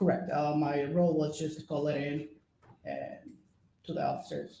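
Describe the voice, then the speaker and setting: A voice with a Spanish accent talks at a moderate pace amid audible room echo. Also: man. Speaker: police officer testifying as witness. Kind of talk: court testimony. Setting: courtroom.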